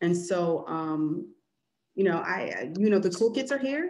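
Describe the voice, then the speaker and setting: This is a woman speaking at a fairly low pitch. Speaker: community engagement manager, social worker. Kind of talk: webinar presentation and Q&A. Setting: video call. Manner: fast.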